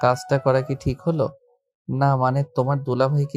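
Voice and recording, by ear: Someone reading aloud in a natural voice, with a quiet background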